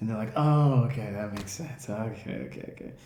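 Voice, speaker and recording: A man with an American accent at a fairly quick pace, with audible room echo and music in the background. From United States. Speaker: travel vlogger. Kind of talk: casual vlog talk. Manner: casual, slangy.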